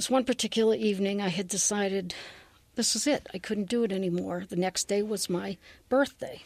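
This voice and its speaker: Speaking in a New England accent, a woman moves at a fairly quick pace with a medium pitch and ordinary pitch variation. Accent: New England American. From Massachusetts. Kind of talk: testimony.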